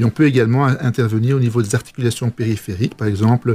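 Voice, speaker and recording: A somewhat breathy man at a very fast pace, with fairly even intonation. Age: 50s. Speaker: physician. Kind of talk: interview. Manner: halting.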